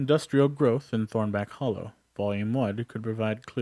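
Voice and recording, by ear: Pitch moves in an ordinary way as a natural voice reads aloud.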